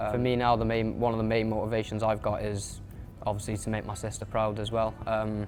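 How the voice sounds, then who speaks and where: Talking at a fairly quick pace, a man with a north Welsh accent keeps a monotone, flat intonation. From Wales, Wrexham. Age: young. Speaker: amateur boxer. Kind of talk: interview. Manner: hesitant fillers.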